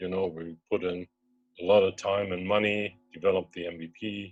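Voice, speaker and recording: A man talks in a fairly low voice with a German accent. Music plays in the background. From Germany. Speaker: startup co-founder. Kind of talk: investor pitch presentation. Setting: webinar video call.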